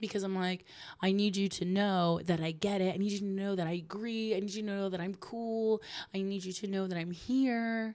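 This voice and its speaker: On a very clean recording with a silent background, a woman in a normal speaking voice talks at a fairly quick pace with a medium pitch and fairly even intonation. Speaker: podcast host. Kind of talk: solo podcast monologue. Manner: casual, filler-heavy.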